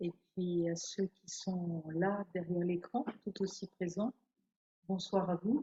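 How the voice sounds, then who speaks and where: A woman's somewhat breathy voice at a medium pitch, very slow pace, very even loudness, and fairly even intonation. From France. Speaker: nun and theologian. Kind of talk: spiritual talk. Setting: hall with audience and online viewers.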